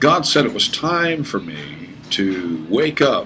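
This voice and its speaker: Recorded with audible room echo and noticeable background noise, a man speaks with very wide pitch swings. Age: 50s. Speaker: pastor. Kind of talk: sales pitch. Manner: animated.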